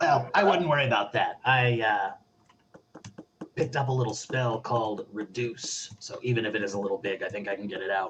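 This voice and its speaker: Putting on a raspy character voice at a medium pitch, a man talks at a fairly quick pace. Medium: actual play. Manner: casual, hedging.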